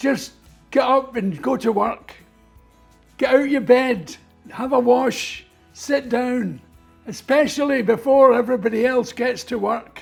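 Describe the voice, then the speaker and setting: Over music in the background, a man with a Scottish accent speaks at a fairly slow pace and an extremely high pitch, with ordinary pitch variation and long, frequent pauses. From Scotland. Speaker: comedian and artist. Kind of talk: interview answer.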